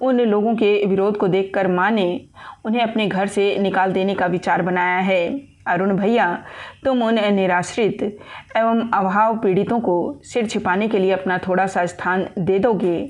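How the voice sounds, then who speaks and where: With very even loudness, a woman speaks in a monotone, flat intonation. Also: medium pitch for a woman. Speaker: audiobook narrator. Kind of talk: audiobook novel narration.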